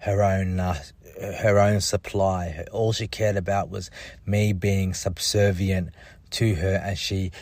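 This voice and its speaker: The voice is somewhat breathy, with an Australian accent. The recording is very clean, with a silent background. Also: man. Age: 30s. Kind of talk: personal testimony monologue. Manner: halting, many fillers and repetitions.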